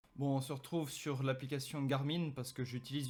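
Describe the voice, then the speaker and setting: A man talks very fast, his intonation fairly even throughout. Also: very clean recording, silent background. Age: 20s. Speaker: fitness YouTuber, sports nutritionist. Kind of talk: tutorial.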